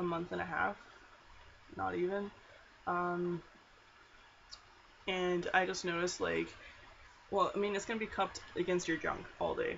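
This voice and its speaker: The speaker talks at a fairly slow pace with a Canadian accent. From Alberta, Canada. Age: 20s. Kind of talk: casual talk to camera, product review. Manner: hesitant, many filler words.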